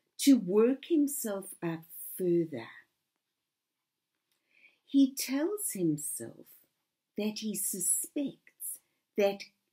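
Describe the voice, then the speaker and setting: A woman's somewhat breathy voice, fairly high in pitch with a dark, mellow tone, very wide pitch swings and a very slow pace. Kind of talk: lecture / talk to camera.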